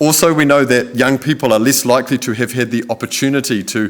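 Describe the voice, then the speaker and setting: Speaking with a New Zealand accent, a man keeps a moderate pace and ordinary pitch variation. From New Zealand, Whanganui. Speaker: photographer and videographer, Treaty educator. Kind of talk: public lecture. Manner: calm.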